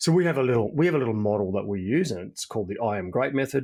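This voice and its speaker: A man speaks at a medium pitch with an Australian accent, talking very fast with lively intonation. The recording is very clean, with a silent background. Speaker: executive coach. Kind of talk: podcast interview. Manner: repetitive false starts.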